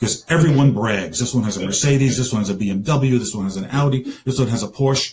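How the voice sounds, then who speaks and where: A man's somewhat breathy voice. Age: 60s. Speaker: stand-up comedian. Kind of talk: stand-up.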